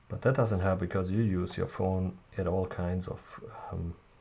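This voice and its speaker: A fairly slow, somewhat breathy voice with a non-native accent and a dark, mellow tone. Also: man. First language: not English. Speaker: tech reviewer. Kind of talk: tutorial. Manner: halting, many fillers.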